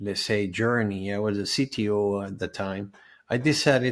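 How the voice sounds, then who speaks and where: A man with a Spanish accent speaks at a fairly low pitch on a very clean recording with a silent background. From Venezuela. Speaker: health and life coach. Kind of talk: summit presentation. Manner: halting with fillers.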